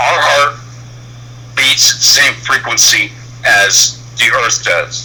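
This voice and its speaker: A man's voice amid noticeable background noise. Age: 60s. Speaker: truck driver calling in to a show. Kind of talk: personal testimony on a call-in show. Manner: halting, with many fillers.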